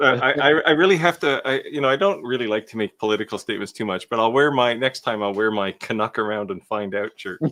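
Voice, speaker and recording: With a Canadian accent, a man rushes along at a very fast pace with hardly any pauses and lively intonation. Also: medium pitch for a man. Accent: Canadian, noticeable in conversation. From Canada. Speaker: co-host of a woodworking live show. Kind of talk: casual chat. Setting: live stream.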